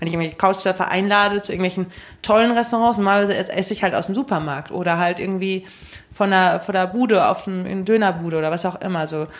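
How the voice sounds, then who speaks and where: A woman rushes through her speech extremely fast. Her pitch stays mostly flat. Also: medium pitch for a woman. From Germany. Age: 20s. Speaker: travel enthusiast. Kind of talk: casual chat. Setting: studio.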